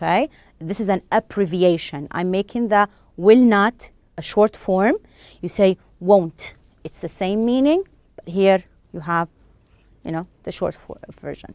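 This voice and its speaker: In an Arabic accent, a woman with a medium pitch speaks at a fairly slow pace with long, frequent pauses, ordinary pitch variation and big swings in loudness. The recording is very clean and dry, with a silent background, a close sound and no echo. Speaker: English teacher. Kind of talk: lecture. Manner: halting.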